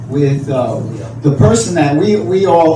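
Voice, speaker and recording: A man's fairly high voice, with ordinary pitch variation and a moderate pace, is heard through audible room echo and noticeable background noise. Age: 60s. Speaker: graffiti artist. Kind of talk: panel talk. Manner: halting, many repetitions.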